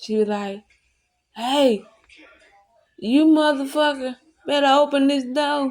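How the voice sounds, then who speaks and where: A woman is speaking here. Her voice is loud. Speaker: YouTuber. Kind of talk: storytelling.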